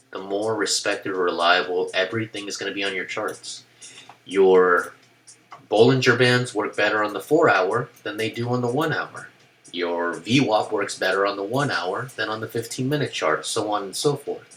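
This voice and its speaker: Over noticeable background noise, a man talks in a fairly low pitch with ordinary pitch variation. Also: moderate pace. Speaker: stock trading educator. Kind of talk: tutorial. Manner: casual with filler words.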